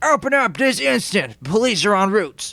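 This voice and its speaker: Putting on a character voice, a man projects loudly at a high pitch, swinging his pitch very widely at a moderate pace. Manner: commanding, put-on.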